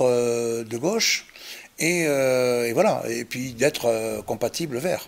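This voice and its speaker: A man speaks at a very slow pace with ordinary pitch variation. Noticeable background noise runs underneath. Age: 60s. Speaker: local election candidate. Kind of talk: interview. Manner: halting, frequent hesitations.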